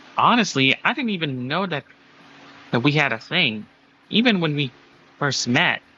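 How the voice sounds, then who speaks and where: A man does a put-on character voice pitched fairly high. He keeps a moderate pace, broken by long, frequent pauses. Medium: read story.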